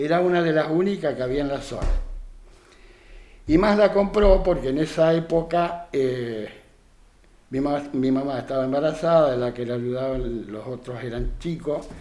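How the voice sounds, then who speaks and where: A man with a fairly high pitch speaks in a Rioplatense accent at a moderate pace, with ordinary pitch variation and long, frequent pauses. Noticeable background noise and audible room echo fill the recording. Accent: Argentine Rioplatense Spanish. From Argentina, Santa Fe province (San Carlos Centro). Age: 70s. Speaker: retired dairy farmer and craftsman. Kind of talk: radio interview. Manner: hesitant, many fillers.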